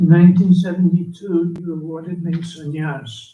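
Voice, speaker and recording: A man speaks at a fairly slow pace in a high pitch, his dark, mellow tone carried on fairly even intonation. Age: 80s+. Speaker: elderly monk and spiritual teacher. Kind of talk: reading aloud a written offering.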